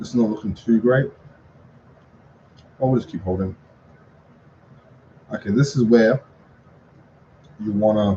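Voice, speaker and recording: A man's dark, mellow, somewhat breathy voice at medium pitch, with ordinary pitch variation and long, frequent pauses. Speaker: trading content creator. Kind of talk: live trading recap tutorial. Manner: fast; casual, halting with fillers.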